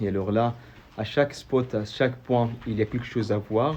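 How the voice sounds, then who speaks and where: A man with an Arabic accent, dark and mellow in tone, his intonation fairly even and his pace fairly slow. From Saudi Arabia (AlUla). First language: Arabic (speaking French). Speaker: local tour guide vlogger. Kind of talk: travel video explanation. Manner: halting, many hesitations and repeated words.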